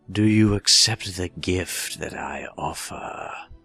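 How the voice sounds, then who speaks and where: Putting on a character voice, a man speaks very slowly at a very deep, low pitch while faint music plays in the background. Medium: solo performance. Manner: smooth, condescending.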